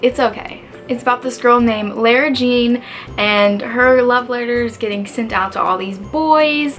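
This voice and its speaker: Music plays in the background as a woman speaks quietly at a fairly slow pace. Her pitch is high. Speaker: book youtuber. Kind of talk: casual video review. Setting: dorm room. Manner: animated.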